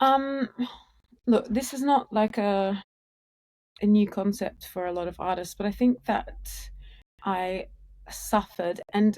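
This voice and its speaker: Her tone dark and mellow, a woman speaks with an Australian accent at a medium pitch. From Australia, Sydney. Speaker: musician in a duo. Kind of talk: podcast interview.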